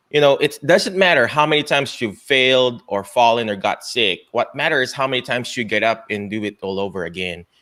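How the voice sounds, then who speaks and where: Over a very clean recording with a silent background, a bright, sharp voice moves at a fairly quick pace with lively intonation. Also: man. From Philippines. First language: Filipino (Tagalog). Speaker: doctor and show host. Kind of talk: motivational interview talk. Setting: live stream. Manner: animated.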